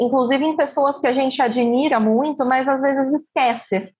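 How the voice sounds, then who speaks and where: A high-pitched woman's voice at a moderate pace. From Campinas, interior of São Paulo, Brazil. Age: 20s. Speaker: lawyer. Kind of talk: casual chat.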